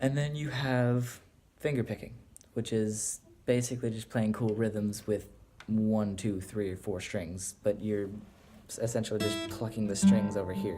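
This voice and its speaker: With music in the background, the speaker's voice moves at a fairly slow pace and keeps a fairly even intonation. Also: man. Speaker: guitar teacher. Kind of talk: casual tutorial talk to camera. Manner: stuttering, hesitant.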